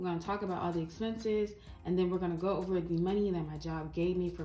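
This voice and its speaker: A woman with a fairly low pitch talks at a very fast pace with fairly even intonation. Noticeable background noise and audible room echo surround her voice. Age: 20s. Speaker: personal finance vlogger. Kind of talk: casual vlog tutorial. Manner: casual with filler words.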